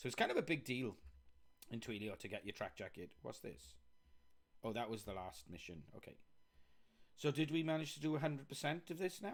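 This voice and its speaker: With a Welsh accent and vocal fry, a man speaks at a fairly quick pace in a medium pitch, his animated tone marked by very wide pitch swings and long, frequent pauses. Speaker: software developer live streamer. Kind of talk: live coding stream commentary. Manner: casual, chatty.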